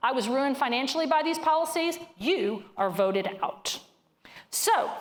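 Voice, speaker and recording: A woman with a Southern US accent speaks in an animated tone with very wide pitch swings, with noticeable background noise and audible room echo. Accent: hillbilly accent (self-described). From northern Louisiana. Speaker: economist speaker. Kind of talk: keynote talk to live audience. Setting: stage with audience.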